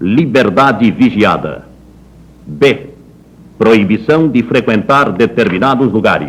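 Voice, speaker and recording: A man speaks very slowly with vocal fry. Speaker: radio announcer. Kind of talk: official government radio broadcast read. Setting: 1960s radio broadcast recording.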